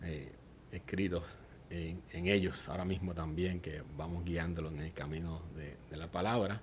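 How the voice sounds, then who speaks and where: A somewhat breathy voice in a Puerto Rican accent, fairly slow and monotone, with flat intonation and audible room echo. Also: man, very deep, low pitch for a man. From Puerto Rico, Aguadilla. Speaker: church member giving testimony. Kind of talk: testimony interview.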